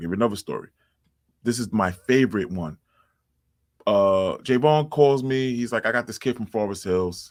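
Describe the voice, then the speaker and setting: Speaking in a New York accent with an animated tone, a man at medium pitch keeps a moderate pace, his loudness swinging widely and his pitch varying in an ordinary way, with long, frequent pauses in a very clean recording over a silent background. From New York City (Far Rockaway, Queens). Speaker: basketball coach and DJ. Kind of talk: casual interview chat.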